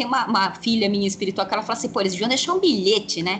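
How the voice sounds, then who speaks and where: Lively intonation carries a woman's voice over noticeable background noise. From São Paulo city, east side periphery. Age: 40s. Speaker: witch and tarot reader, teacher. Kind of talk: interview conversation.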